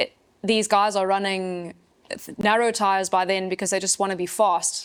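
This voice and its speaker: In an English accent, a woman talks at a moderate pace and medium pitch in a monotone, flat intonation, on a very clean recording with a silent background. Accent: very English accent, self-described. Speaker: professional mountain bike racer. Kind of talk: casual chat.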